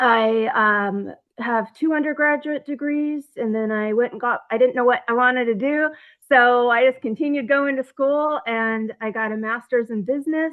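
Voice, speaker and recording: An American accent at a moderate pace, with ordinary pitch variation. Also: woman, high pitch for a woman. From Oregon, US Pacific Northwest. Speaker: former federal prisoner and author. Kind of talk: interview. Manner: halting, many fillers.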